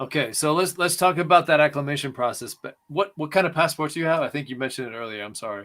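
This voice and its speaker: Delivered at a very fast pace with hardly any pauses, the voice has a bright, sharp tone and big swings in loudness. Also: man, fairly high pitch for a man, ordinary pitch variation. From Hong Kong and Taiwan. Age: 40s. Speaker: podcast host. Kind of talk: interview. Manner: halting.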